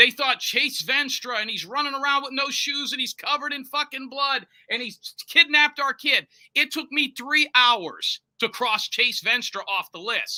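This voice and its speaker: A man with an American accent projects his raised voice at an extremely high pitch with ordinary pitch variation, the sound dry and close with no echo. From Florida. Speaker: private investigator. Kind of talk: interview. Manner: fast.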